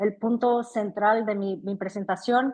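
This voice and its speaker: A woman speaks with a Brazilian accent. Her pitch is medium and her pace moderate. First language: Portuguese (speaking Spanish). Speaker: physician, panelist. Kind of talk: conference presentation.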